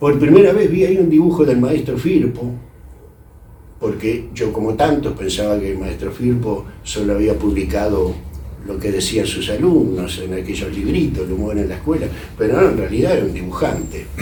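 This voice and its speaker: Audible room echo surrounds a man who talks at a moderate pace with very wide pitch swings. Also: fairly low pitch for a man. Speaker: literary critic. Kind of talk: speech at a tribute event. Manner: hesitant, many fillers.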